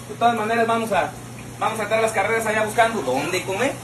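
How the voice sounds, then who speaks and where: Against noticeable background noise, a man talks at a very fast pace with a high pitch. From Mexico. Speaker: social media personality; comedy social media creator. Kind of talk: casual vlog talk; casual vlog chat. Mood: joking, boastful.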